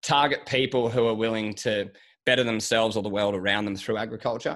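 In an Australian accent, a man with a fairly low pitch talks at a fairly quick pace with fairly even intonation, on a very clean recording with a silent background. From Australia, Sydney. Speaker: agriculture podcast host and agribusiness consultant. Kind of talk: interview.

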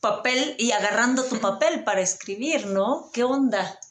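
A woman speaks with a Mexican accent at a fairly slow pace. Her tone is animated, with ordinary pitch variation. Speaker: podcast host. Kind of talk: casual interview chat.

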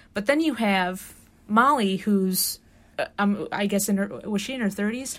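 The woman has an ordinary speaking voice, medium in pitch with ordinary variation. She talks at a moderate pace on a very clean recording with a silent background. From Chicago, south side. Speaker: student podcast host. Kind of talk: casual chat.

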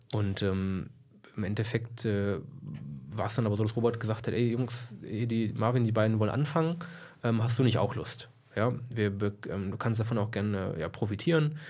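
A man talks with ordinary pitch variation and long, frequent pauses. Audible room echo surrounds his voice. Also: medium pitch for a man, moderate pace. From Lower Saxony, Germany (Braunschweig area). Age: 20s. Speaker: entrepreneur, financial services. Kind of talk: interview, casual chat.

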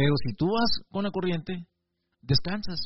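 A man speaks with a high voice. The rise and fall of his pitch is ordinary. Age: 40s. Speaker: video blogger. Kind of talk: reflective monologue. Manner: halting, with frequent repetitions.

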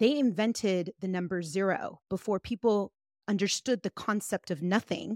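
A woman speaks in a normal speaking voice at a medium pitch and a moderate pace, with ordinary pitch variation. The sound is dry and close with no echo, on a very clean recording with a silent background. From US, child of Guatemalan immigrants. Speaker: life and business coach. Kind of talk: casual interview chat.

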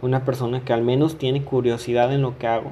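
Somewhat breathy and dark, mellow in tone, a man speaks with monotone, flat intonation. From Mexico, Coahuila. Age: 20s. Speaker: podcaster. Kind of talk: casual monologue.

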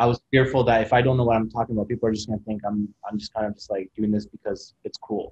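A man with a Canadian accent talks at a very fast pace with hardly any pauses, in a somewhat breathy voice and monotone, flat intonation, with a dry, close sound and no echo. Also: medium pitch for a man. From Kitchener-Waterloo, Ontario, Canada (Middle Eastern refugee family). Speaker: photographer and YouTuber. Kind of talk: casual interview.

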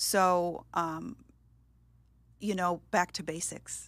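A woman with an American accent speaks very slowly at a fairly low pitch, with ordinary pitch variation and long, frequent pauses. The recording is very clean, with a silent background. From upstate New York. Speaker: church admin assistant in recovery. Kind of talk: testimony.

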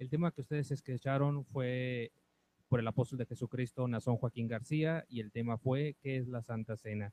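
A man's plain, everyday voice, medium in pitch, at a moderate pace. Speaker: radio announcer. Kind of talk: radio announcement. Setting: radio studio.

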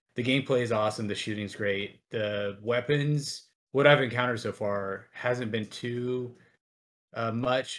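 With an unremarkable speaking voice, a man talks at a fairly slow pace, his medium pitch holding fairly even intonation. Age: 20s. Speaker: podcast co-host. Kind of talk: casual chat.

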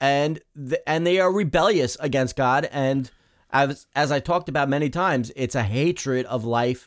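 A man with a plain, everyday voice at a fairly high pitch, moderate pace, ordinary pitch variation and very even loudness, on a very clean recording with a silent background. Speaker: radio co-host. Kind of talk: live talk radio show.

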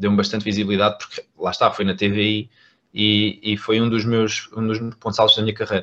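Fairly quick and monotone, with flat intonation, a man speaks at a fairly low pitch. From Portugal, Algarve. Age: 20s. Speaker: content creator. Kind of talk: casual interview.

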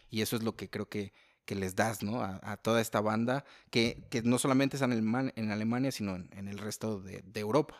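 At a fairly quick pace, a man with a Mexican accent speaks at a fairly low pitch with fairly even intonation, in a very clean, dry, close recording with no echo and a silent background. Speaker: podcast host. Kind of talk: casual interview chat.

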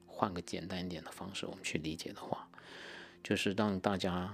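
A man's voice sits very deep and low in pitch, captured on a very clean recording with a silent background. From Guangdong, China (Haifeng roots). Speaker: podcast host. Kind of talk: personal monologue.

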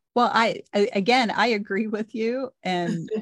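Speaking at a fairly slow pace, a woman uses medium pitch with ordinary pitch variation.

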